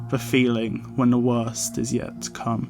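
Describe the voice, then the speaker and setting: Music in the background behind a man with a medium-pitched voice and a fairly slow pace. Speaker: horror story narrator. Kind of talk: horror story narration. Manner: slight lisp.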